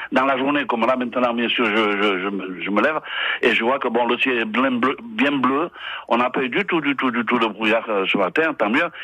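Noticeable background noise behind a man's medium-pitched voice, very even in loudness, ordinary in pitch variation, and moderate in pace. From French Basque Country. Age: 60s. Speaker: retired Basque emigrant. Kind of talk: radio interview.

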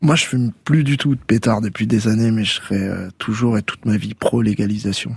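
A man talks at a moderate pace in a somewhat breathy voice of medium pitch, with ordinary pitch variation. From Tours, France. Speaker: reggae musician. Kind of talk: radio interview. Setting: radio studio.

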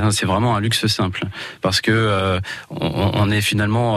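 Noticeable background noise sits under the speech, and audible room echo surrounds it. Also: man. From Val d'Oise, France. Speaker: eco-lodge owner. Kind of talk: radio interview.

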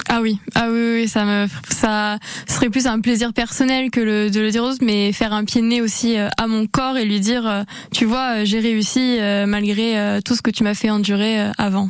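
A woman's fairly high voice, fairly slow and monotone with flat intonation. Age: 20s. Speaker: amateur triathlete. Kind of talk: radio interview. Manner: hesitant, with fillers.

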